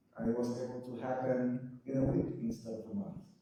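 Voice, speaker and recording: There is audible room echo around this man's voice. He speaks at a medium pitch and a moderate pace. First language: not English. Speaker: filmmaker. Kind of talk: panel discussion.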